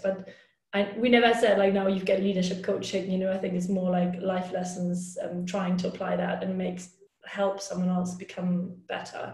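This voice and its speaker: A woman speaks with a German accent. Audible room echo surrounds her voice. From Germany, Hamburg. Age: 30s. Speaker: hockey player and team captain. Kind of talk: interview.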